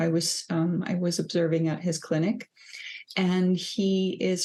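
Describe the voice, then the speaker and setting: Against a quiet background, a woman with a fairly low pitch and a dark, mellow tone sounds somewhat breathy, with ordinary pitch variation. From Denmark. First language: Danish. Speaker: psychologist, podcast co-host. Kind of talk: casual podcast chat.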